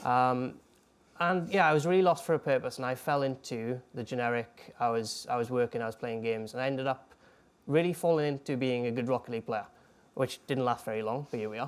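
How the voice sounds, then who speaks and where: Speaking at a very fast pace, a man with a Welsh accent keeps a medium pitch. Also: ordinary pitch variation. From Wales. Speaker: ex-professional esports player and coach. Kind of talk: talk to students.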